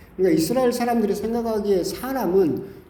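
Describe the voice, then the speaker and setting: A man talks over noticeable background noise, with audible room echo around his voice. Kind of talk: sermon. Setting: church.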